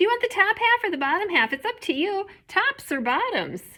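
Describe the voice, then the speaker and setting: In a squeaky, put-on character voice at an extremely high pitch, a woman speaks at a fairly quick pace. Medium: read story. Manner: smooth and persuasive.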